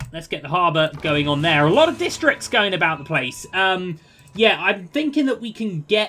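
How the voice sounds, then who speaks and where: Over noticeable background noise, a man with a British accent talks at a fairly quick pace. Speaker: video game streamer. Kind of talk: gameplay commentary. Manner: casual, chatty.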